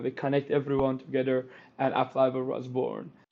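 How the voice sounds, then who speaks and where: The man's voice sits at a medium pitch. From Iran. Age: 30s. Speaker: tech company founder and CEO. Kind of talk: interview.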